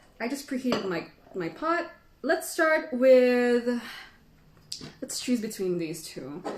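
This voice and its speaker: Noticeable background noise runs behind a woman's voice. She speaks very slowly at a fairly high pitch. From Philippines. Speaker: tea educator. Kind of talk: live stream tea tasting tutorial. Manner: casual, chatty.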